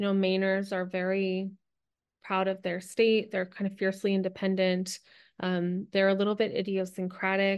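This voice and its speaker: Monotone and flat, a woman speaks at medium pitch and a moderate pace in an American accent. The background is quiet. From US Northeast, New Jersey. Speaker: novelist. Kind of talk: interview.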